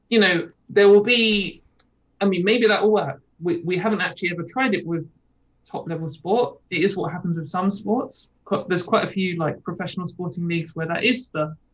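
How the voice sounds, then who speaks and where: Somewhat breathy, a woman speaks at a fairly quick pace with a medium pitch. Her pitch varies in an ordinary way. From England. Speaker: activist guest. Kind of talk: casual chat. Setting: video call. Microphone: connection freezing.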